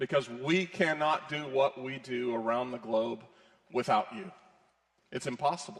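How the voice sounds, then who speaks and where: At a moderate pace, the speech has ordinary pitch variation and long, frequent pauses. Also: man. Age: 50s. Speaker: ministry executive. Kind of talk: sermon. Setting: church.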